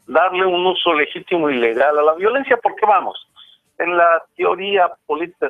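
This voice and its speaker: Music plays in the background. The voice moves at a moderate pace with lively intonation. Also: man. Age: 60s. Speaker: professor and author. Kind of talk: interview.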